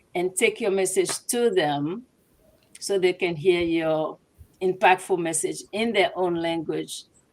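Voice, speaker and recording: A woman speaks with a Togolese accent. Her voice is fairly low and her pace fairly slow. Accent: West African Francophone (Togolese). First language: Ewe (also French). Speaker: translation business owner. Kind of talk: interview.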